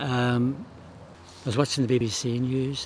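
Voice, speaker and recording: A man with a Northern Irish accent talks in a monotone, flat intonation and a somewhat breathy voice, with a dry sound with no echo and light background noise. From Northern Ireland. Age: 70s. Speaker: charity walker. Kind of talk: interview answer. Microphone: lapel.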